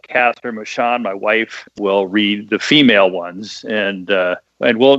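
A man with an American accent. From US Midwest. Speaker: bestselling author and screenwriter. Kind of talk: casual interview. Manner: clear enunciation.

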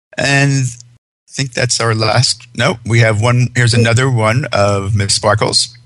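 Speaking at a fairly slow pace, a man of medium pitch has an unremarkable speaking voice with fairly even intonation and very even loudness. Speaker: radio host. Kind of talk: interview about pet fashion.

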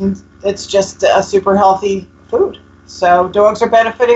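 A woman at a moderate pace, with fairly even intonation and noticeable background noise. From US Northeast, North Jersey. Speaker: pet food company founder. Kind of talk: interview.

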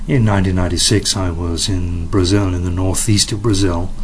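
A man with an English accent speaks in a very deep, low pitch. Noticeable background noise and audible room echo are present. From England. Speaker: parrot conservation foundation director. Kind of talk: interview. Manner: hesitant with fillers.

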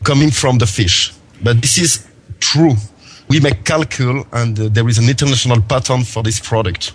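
A man at medium pitch with a French accent, somewhat breathy, moderate pace and ordinary pitch variation. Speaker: tech product entrepreneur. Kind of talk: interview. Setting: phone call. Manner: halting.

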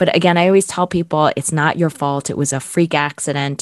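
With an American accent, a woman speaks at a moderate pace and a very deep, low pitch with ordinary pitch variation, recorded dry and close with no echo. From central New Jersey. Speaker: podcast host and veterinarian. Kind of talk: interview.

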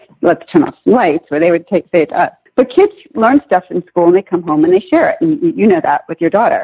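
A woman with an American accent speaks at a fairly quick pace in a medium pitch, her pitch swinging very widely. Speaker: children's author. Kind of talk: interview.

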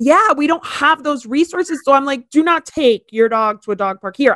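A woman with an American accent talks at a fairly quick pace in a normal speaking voice, her intonation lively and the sound dry and close with no echo. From Miami, Florida. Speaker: podcast host. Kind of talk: casual chat.

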